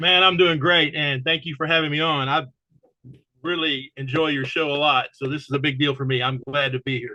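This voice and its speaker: Talking at a fairly quick pace, a man has a plain, everyday voice, fairly high in pitch, with fairly even intonation. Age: 60s. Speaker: paintball commentator and show host. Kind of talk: casual interview.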